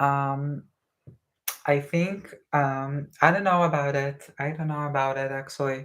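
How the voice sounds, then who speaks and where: A woman with an Israeli accent has a very deep, low voice. She talks at a fairly slow pace with fairly even intonation. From northern Israel. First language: Hebrew. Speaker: YouTuber. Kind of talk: live stream Q&A. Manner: hesitant with fillers.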